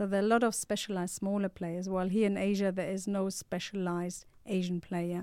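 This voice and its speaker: In a very clean recording with a silent background, a woman speaks at a fairly quick pace with hardly any pauses, her medium-pitched voice dark and mellow and her intonation monotone and flat. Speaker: startup founder. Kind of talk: interview. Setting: studio.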